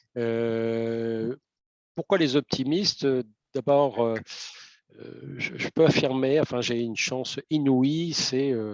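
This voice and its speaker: A man at medium pitch, very slow with long, frequent pauses, ordinary pitch variation and big swings in loudness, in a dry, close sound with no echo. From northern France, Lille area. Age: 60s. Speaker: volunteer delegate, retired communications professional. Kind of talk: interview. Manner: hesitant, many fillers.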